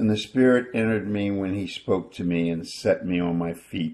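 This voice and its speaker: This man has an unremarkable speaking voice, a fairly low pitch and a moderate pace. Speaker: scripture reader. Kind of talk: reading aloud scripture.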